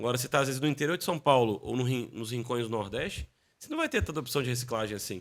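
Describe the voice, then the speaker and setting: At a very fast pace, a man speaks at medium pitch with ordinary pitch variation and big swings in loudness. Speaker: business executive in construction waste recycling. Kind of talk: podcast interview.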